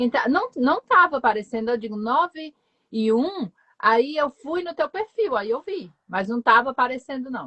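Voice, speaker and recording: The voice swings very widely in pitch while keeping a moderate pace. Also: woman, high pitch for a woman. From Northeast Brazil, João Pessoa, Paraíba. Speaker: foreign language teacher. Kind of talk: casual chat. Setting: live stream video call.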